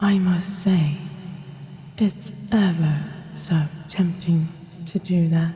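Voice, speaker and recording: A menacing, put-on character voice in a British accent unfolds at a fairly slow pace over clear background noise. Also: woman. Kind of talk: audio roleplay. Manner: slow, menacing.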